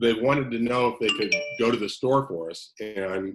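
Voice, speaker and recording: Delivery here is moderate in speed. It is an ordinary speaking voice. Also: man. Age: 60s. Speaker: counselor. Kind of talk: casual chat.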